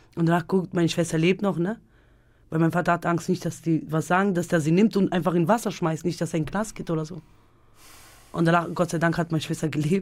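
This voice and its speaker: A woman's fairly low-pitched voice at a very fast pace, fairly even in intonation, in a very clean recording with a silent background. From Germany (Münster), born in Kosovo. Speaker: Roma dance teacher and mother. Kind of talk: interview. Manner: halting.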